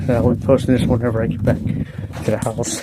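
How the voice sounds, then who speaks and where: With an American accent and monotone, flat intonation, a man of medium pitch speaks at a fairly quick pace amid noticeable background noise and audible room echo. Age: 60s. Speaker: vlogger. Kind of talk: casual walking vlog. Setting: outdoors.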